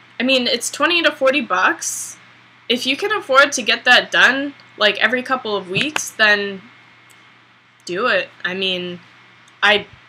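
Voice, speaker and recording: A woman talks at a fairly slow pace with long, frequent pauses and noticeable background noise. Her voice is high, with very wide pitch swings. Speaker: beauty vlogger. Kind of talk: hair tutorial vlog. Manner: casual, hesitant with many ums.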